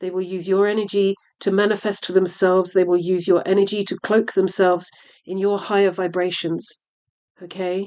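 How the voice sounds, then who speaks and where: A woman with a medium pitch talks at a moderate pace in a monotone, flat intonation. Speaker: tarot reader. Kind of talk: tarot reading. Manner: halting, hesitant.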